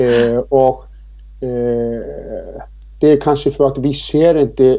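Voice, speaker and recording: A man speaks with an Icelandic accent. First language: Icelandic (speaking Swedish). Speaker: riding instructor and author. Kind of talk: interview. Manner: hesitant, many fillers.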